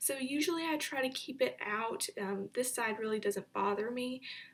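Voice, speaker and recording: A woman speaks over noticeable background noise. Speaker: beauty vlogger. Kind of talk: makeup tutorial. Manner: casual.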